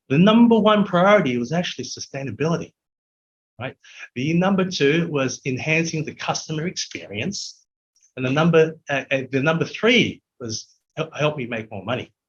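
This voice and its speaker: With an Australian accent, a man speaks at a fairly high pitch and a moderate pace, his intonation lively. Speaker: technology executive. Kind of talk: interview.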